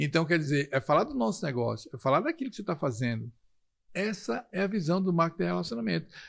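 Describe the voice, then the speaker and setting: Talking at a very fast pace, a man with fairly high pitch and vocal fry makes very wide pitch swings against a quiet background. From Brazil, Recife (Pernambuco). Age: 60s. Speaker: network marketing leader. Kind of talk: interview.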